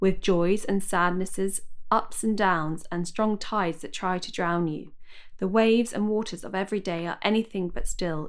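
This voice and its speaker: The speaker uses a southern English accent and a moderate pace. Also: woman. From southwest London, England. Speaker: guest speaking about her eating disorder. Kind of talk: interview about personal experience. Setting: video call.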